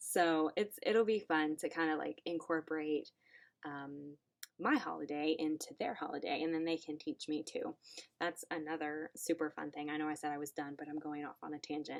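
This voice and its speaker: Speaking at a moderate pace, a woman with a Southern US accent has a very deep, low pitch. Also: ordinary pitch variation. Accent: southern twang. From US South. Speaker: online English teacher. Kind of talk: casual chat. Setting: home classroom.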